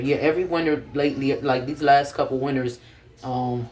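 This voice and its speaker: A man talks at a fairly quick pace in a monotone, flat intonation. Noticeable background noise runs behind him. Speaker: vlogger. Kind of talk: casual vlog talk to camera. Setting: at home. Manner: fast.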